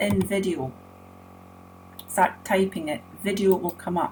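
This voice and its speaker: A woman talks at a moderate pace and medium pitch, with ordinary pitch variation. Music plays in the background. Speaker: web design tutor. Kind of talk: screen-recorded tutorial.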